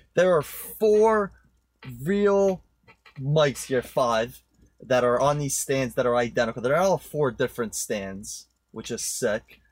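Very slowly, a man with a New Jersey accent talks at a medium pitch with very wide pitch swings. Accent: New Jersey American. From New Jersey, born in Poland, moved at nine. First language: Polish. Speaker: podcast guest, marketing tech professional. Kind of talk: casual chat. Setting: studio.

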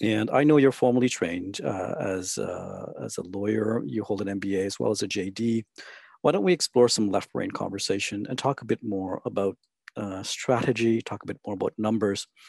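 It's a normal speaking voice with ordinary pitch variation, captured with a dry, close sound and no echo. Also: man, fairly low pitch for a man, moderate pace. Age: 40s. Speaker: wealth management interviewer. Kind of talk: interview. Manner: formal.

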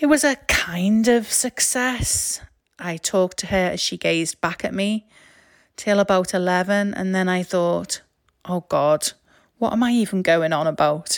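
The voice is an unremarkable speaking voice with ordinary pitch variation, delivered at a fairly slow pace. The recording is very clean with a silent background and a dry, close sound with no echo. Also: woman, medium pitch for a woman. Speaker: storyteller, artist and podcaster. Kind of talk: personal storytelling narration.

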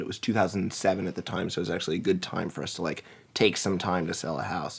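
A man speaks with an American accent. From Washington DC area (Montgomery County, Maryland). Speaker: marketing team lead and community blogger. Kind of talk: casual interview chat. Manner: halting, many fillers and restarts.

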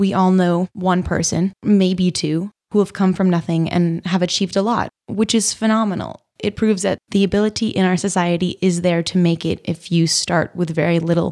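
Recorded very cleanly against a silent background, a woman with an American accent uses a plain, everyday voice at medium pitch, with fairly even intonation, very even loudness, hardly any pauses, and a dry, close sound with no echo. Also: moderate pace. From Vermont, US. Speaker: college student. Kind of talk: casual chat. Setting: studio.

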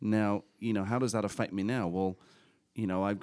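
This is a very clean recording with a silent background. A man speaks at a fairly quick pace. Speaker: real estate investor and coach. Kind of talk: casual chat.

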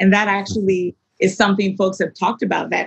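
A woman with an American accent speaks at a fairly quick pace in a dry, close sound with no echo. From US, Maryland (childhood in Nigeria 6-15). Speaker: arts nonprofit executive director. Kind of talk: interview.

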